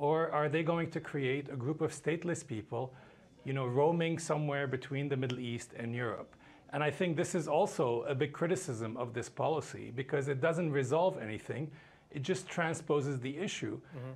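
Somewhat breathy, a man speaks at a moderate pace with ordinary pitch variation. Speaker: remote guest. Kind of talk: interview answer. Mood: calm, critical. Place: studio. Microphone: lapel.

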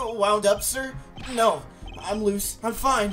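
A put-on character voice, fairly high and shrill, raised and projected, at a very slow pace over clear background noise

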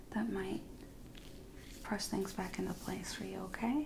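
A soft-spoken woman talks in a gentle tone over noticeable background noise. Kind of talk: soft-spoken roleplay instructions. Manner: soft-spoken, gentle ASMR voice. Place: home room. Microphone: studio mic.

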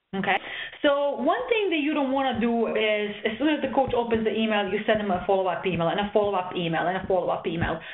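Noticeable background noise sits behind a woman's fairly high voice. She talks at a very fast pace with lively intonation. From Serbia. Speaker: volleyball coach. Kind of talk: webinar presentation. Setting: online session, audience muted. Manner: hesitant, many fillers.

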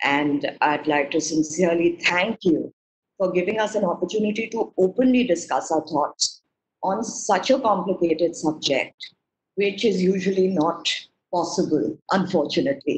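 A woman talks at a fairly low pitch with ordinary pitch variation. Her loudness stays very even. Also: moderate pace. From India. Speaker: research advisor. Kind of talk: webinar talk. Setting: video call. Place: home room. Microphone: video call.

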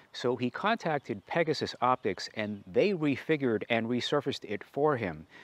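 The recording is dry, without any echo. The voice belongs to a man. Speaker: telescope reviewer. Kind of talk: review presentation. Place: street. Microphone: lapel.

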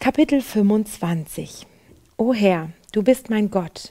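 The voice has a dark, mellow tone and moves at a very slow pace. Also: woman, quiet background. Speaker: presenter. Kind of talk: devotional Bible commentary. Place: studio. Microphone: headset.

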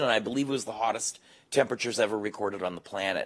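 A man with a Canadian accent and fairly even intonation. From Canada. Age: 50s. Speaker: explorer, ultra distance runner; guest. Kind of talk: panel talk. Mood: relaxed, friendly, smiling. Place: stage. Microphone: handheld.

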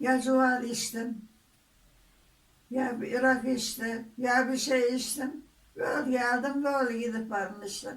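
A woman speaks at a very slow pace with a Muğla accent. Her pitch is high and her intonation is monotone and flat. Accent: Muğla regional dialect. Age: old. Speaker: grandmother. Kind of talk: casual family conversation.

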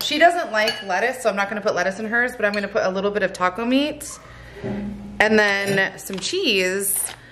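A woman speaking at a fairly quick pace, with music in the background. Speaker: family vlogger. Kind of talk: casual vlog chat. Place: kitchen. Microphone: phone near.

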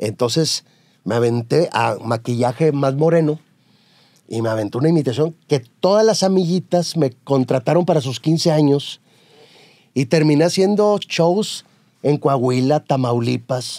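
In a very clean recording with a silent background, a man speaks with a dark, mellow tone at a fairly high pitch. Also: fairly slow pace. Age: middle-aged. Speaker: TV news anchor. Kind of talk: casual interview.

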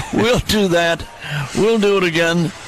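A man with an American accent speaks at a very slow pace and a high pitch with ordinary pitch variation. The sound is dry with no echo, over light background noise. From United States. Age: 80s+. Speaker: baseball radio announcer. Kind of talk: sign-off at end of radio broadcast. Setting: radio broadcast. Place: booth.

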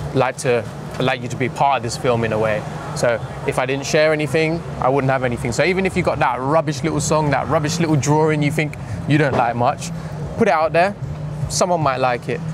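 Over noticeable background noise, a man talks at a fairly quick pace with ordinary pitch variation in a dry sound with no echo. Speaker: interviewee. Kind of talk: interview answer. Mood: relaxed, reflective. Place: street. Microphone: lapel.

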